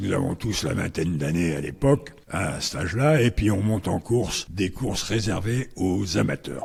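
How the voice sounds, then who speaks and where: Lively intonation and a somewhat breathy sound. There are hardly any pauses. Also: man, fairly low pitch for a man, moderate pace. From northern France, Compiègne. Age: 80s+. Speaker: racecourse president, former steward. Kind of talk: interview. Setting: at a racecourse.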